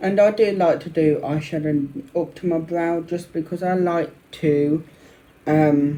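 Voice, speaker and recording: Fairly high man's voice in a Birmingham accent, fairly slow pace and fairly even intonation. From Birmingham, England. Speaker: makeup vlogger. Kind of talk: makeup tutorial and review. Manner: speaking up louder.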